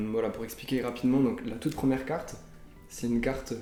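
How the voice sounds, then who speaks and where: Over audible room echo, a man talks at a fairly quick pace in a monotone, flat intonation. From southern France (Toulouse). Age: 30s. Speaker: app developer and card collector. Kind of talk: interview. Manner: hesitant, many fillers.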